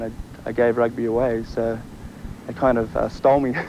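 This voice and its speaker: A man speaks with an Australian accent. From Australia, Sydney area. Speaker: college football player. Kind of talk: interview. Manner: casual, filler-heavy.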